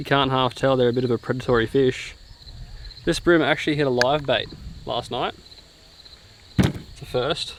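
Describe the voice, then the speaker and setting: A man with an Australian accent speaks at a moderate pace with a medium pitch and fairly even intonation. Long, frequent pauses break up his speech over noticeable background noise. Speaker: travel vlogger. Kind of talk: casual vlog chat.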